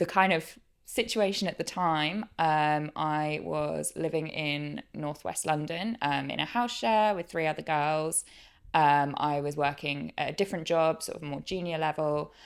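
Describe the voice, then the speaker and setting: Fairly slow speech with ordinary pitch variation, in a very clean recording against a silent background. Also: woman, very deep, low pitch for a woman. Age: 20s. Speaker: podcast guest sharing grief story. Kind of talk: interview testimony. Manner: hesitant, many fillers.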